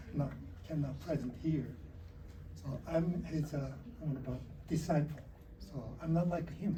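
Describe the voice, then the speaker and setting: Delivered at a moderate pace with a non-native accent, the speech has long, frequent pauses. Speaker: Buddhist monk, disciple of a Zen master. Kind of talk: interfaith panel talk. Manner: halting.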